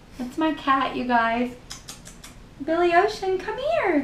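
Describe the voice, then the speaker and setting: A woman with an American accent speaks at a high pitch with lively intonation. Noticeable background noise and audible room echo fill the recording. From US South. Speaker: beauty YouTuber. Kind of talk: makeup tutorial; casual chat. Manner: casual, chatty.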